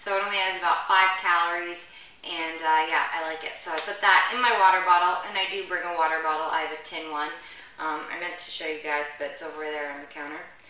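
A woman talks at a very fast pace with fairly even intonation. Audible room echo surrounds her voice. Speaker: fitness host. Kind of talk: casual vlog chat. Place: home room. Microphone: camera far.

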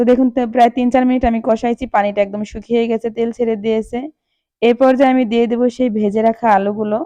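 Flat, monotone intonation from a woman in a dark, mellow tone, with a dry, close sound and no echo. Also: fairly high pitch for a woman. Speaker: cooking channel host. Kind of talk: cooking tutorial.

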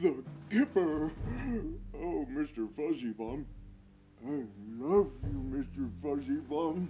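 A man speaks at a very slow pace, with long, frequent pauses and a fairly high pitch. Background noise is clearly audible. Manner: barking, drowsy, blustering.

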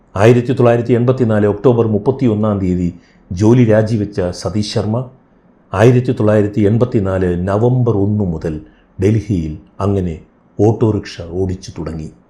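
His voice is somewhat breathy, with a dark, mellow tone, fairly low pitch and ordinary pitch variation. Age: 60s. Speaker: podcast host. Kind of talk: storytelling narration. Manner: measured, pausing.

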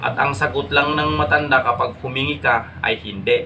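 Over noticeable background noise and audible room echo, a man talks at a fairly slow pace with lively intonation. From Ilocos, Philippines. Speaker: vlogger. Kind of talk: casual vlog talk.

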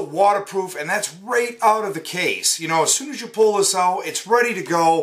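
Against a quiet background, a man talks with lively intonation. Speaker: product reviewer. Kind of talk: casual unboxing review. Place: home room. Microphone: phone near.

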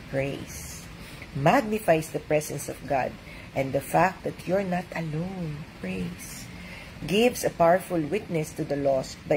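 Over light background noise, a woman with a Filipino accent speaks at a very slow pace in a warm, gentle tone, with a fairly low pitch and ordinary pitch variation. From Philippines. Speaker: doctor and devotional reader. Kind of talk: devotional reading with reflective commentary, Taglish. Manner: warm, conversational, gentle; preacherly, earnest, uplifting cadence. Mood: warm, joyful, animated. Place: home room. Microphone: webcam.

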